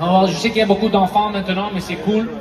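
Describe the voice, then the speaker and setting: High-pitched man at a fairly quick pace, with audible room echo and noticeable background noise. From Montreal, Quebec. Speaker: comedian and show host. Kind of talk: stand-up. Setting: stage with audience. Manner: animated.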